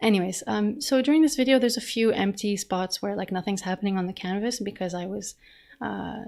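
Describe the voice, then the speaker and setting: At a fairly quick pace, a woman talks at a medium pitch with ordinary pitch variation. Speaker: digital artist. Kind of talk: narrated art demo talk. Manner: fast; casual, hesitant with fillers.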